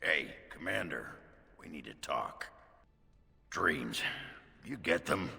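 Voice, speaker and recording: Using a put-on character voice, a man sounds raspy and talks at a fairly slow pace with long, frequent pauses. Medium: video game. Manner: blunt.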